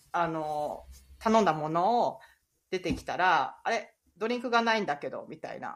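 A woman with a medium pitch and a normal speaking voice talks at a moderate pace, with lively intonation and big swings in loudness. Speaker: podcast host, ICU nurse. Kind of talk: casual chat.

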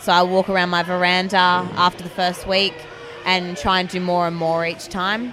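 With music in the background, a woman in an Australian accent speaks at medium pitch and a moderate pace in a monotone, flat intonation. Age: 20s. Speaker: teacher and fitness blogger. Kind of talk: interview.

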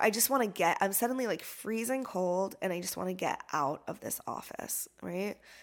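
A woman with a plain, everyday voice speaks at a moderate pace and medium pitch, her intonation lively, in a very clean recording with a silent background. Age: 40s. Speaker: yoga teacher and trauma-sensitive life coach. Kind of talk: personal testimony, unscripted solo podcast. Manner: casual with frequent fillers.

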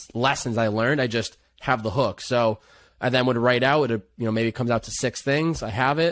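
A plain, everyday voice of a man at medium pitch, with an American accent and fairly even intonation, in a very clean recording against a silent background. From Western Massachusetts. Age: 20s. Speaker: content creator. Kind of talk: casual chat.

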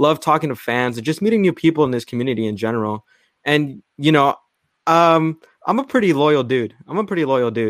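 On a very clean recording with a silent background, a man with an unremarkable speaking voice talks fairly quickly with lively intonation. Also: fairly high pitch for a man. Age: young. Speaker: football fan podcaster. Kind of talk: heated debate.

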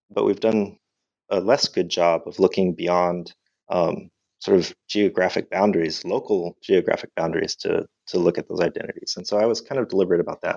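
This man talks at a fairly quick pace with an American accent. The sound is dry and close, with no echo. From Southern California, La Habra in Orange County. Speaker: history professor and author. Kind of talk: interview. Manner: halting, many fillers and repeated words.

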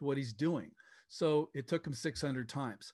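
Against a quiet background, a man with a plain, everyday voice speaks at a moderate pace. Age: 60s. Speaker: software company founder. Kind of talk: interview.

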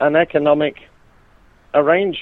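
Speaking with a British accent, a man talks at a fairly slow pace. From UK. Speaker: author and university lecturer on the EU. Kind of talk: interview about his book. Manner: halting, with frequent repetitions.

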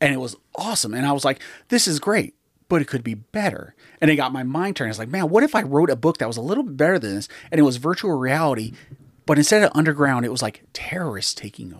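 This very clean recording with a silent background has a man speaking at a very fast pace. His pitch is fairly high and swings very widely. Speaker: author. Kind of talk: casual chat.

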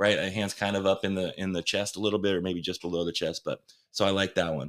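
The recording is very clean, with a silent background. A man with an unremarkable speaking voice talks in a fairly low pitch with fairly even intonation. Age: 40s. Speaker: volleyball coach, podcast co-host. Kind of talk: casual chat.

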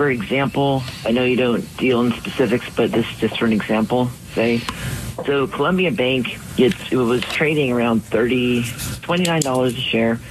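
Noticeable background noise behind a man's medium pitch, his pace fairly slow and his pitch variation ordinary. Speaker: radio call-in listener. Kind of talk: call-in question.

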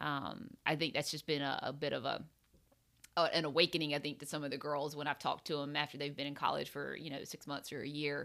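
With a Southern US accent, a woman speaks at a very fast pace in a very deep, low pitch, her tone bright and sharp and her intonation fairly even, on a very clean recording with a silent background. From US South, upstate South Carolina. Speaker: podcast host, golf coach. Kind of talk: scripted intro and outro; casual interview. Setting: in person at golf complex.

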